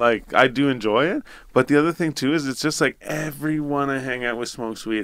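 Recorded very cleanly against a silent background, a man with a Canadian accent talks at a medium pitch and a fairly quick pace with ordinary pitch variation. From Ontario, Canada (Renfrew area). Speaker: podcast co-host. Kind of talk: casual chat. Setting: studio. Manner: animated.

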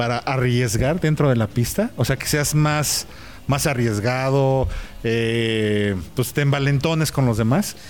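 A man with a Mexican accent, medium-pitched, fairly slow, with ordinary pitch variation. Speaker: podcast host. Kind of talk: casual interview. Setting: in person at a race event.

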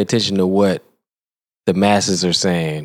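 A man speaks at a moderate pace. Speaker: co-host. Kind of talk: casual comedic banter.

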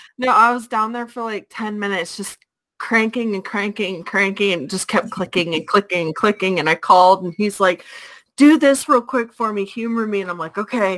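Fairly quick delivery from a woman, medium in pitch with ordinary pitch variation and a normal speaking voice. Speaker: co-host. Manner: playful, teasing.

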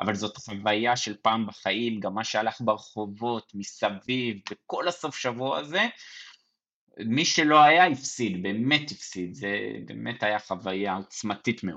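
With a normal speaking voice, a man of fairly low pitch talks at a fairly slow pace with lively intonation. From Israel, Mevaseret Zion near Jerusalem. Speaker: basketball fan guest. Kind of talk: casual sports chat.

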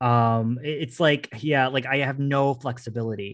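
Against a quiet background, a man talks at a fairly slow pace and a medium pitch with ordinary pitch variation. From Newfoundland, Canada. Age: 30s. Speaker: retired drag performer and internet artist. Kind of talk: casual chat.

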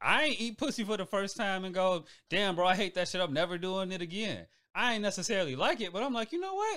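A man talks at a very fast pace in a raised, projected voice. His pitch is high, with ordinary variation. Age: 30s. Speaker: new podcast team member. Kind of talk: casual chat.

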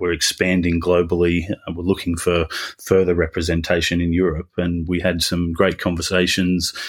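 A man speaks with an Australian accent and a very deep, low pitch at a moderate pace. The recording is very clean, with a silent background. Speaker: business executive.

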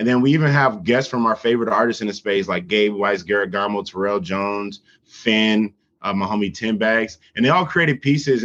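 At a fairly quick pace, a man with an unremarkable speaking voice talks at a fairly low pitch with ordinary pitch variation over a quiet background. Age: 30s. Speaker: NFT artist. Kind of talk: casual chat.

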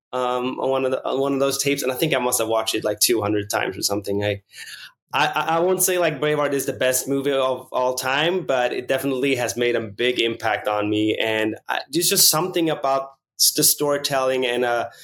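Speaking at a fairly quick pace, a man uses a fairly bright tone at medium pitch with ordinary pitch variation.

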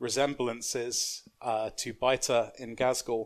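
Speaking very slowly with a London accent, a man keeps a medium pitch and monotone, flat intonation. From South East London, England. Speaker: novelist. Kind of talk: casual chat.

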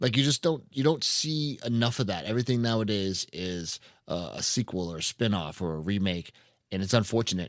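A man with a plain, everyday voice speaks at a fairly low pitch and fairly quick pace with lively intonation, on a very clean recording with a silent background. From New Hampshire, US. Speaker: podcast host. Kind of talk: casual chat.

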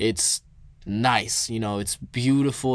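This man has a normal speaking voice at medium pitch. He talks at a fairly slow pace with fairly even intonation. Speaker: podcast host and musician. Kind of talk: storytelling. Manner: casual.

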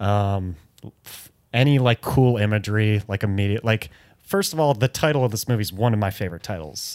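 A man with an American accent and an unremarkable speaking voice, fairly low in pitch with ordinary pitch variation, talking at a fairly quick pace in a very clean recording with a silent background. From US Midwest (Detroit). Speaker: podcast co-host. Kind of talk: casual chat.

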